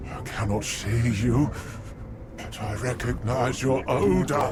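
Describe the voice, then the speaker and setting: A man's put-on character voice at medium pitch, delivered at a fairly slow pace over loud background noise. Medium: video game. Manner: grandiose, archaic.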